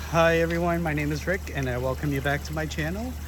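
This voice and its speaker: There is noticeable background noise and audible room echo. Through it, a man speaks with fairly even intonation. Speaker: hobby gardener, plant channel host. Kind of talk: casual garden walk vlog. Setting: outdoors in backyard garden. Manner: hesitant, many fillers; trying to speak louder. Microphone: no external mic, voice sometimes cuts out or quiet.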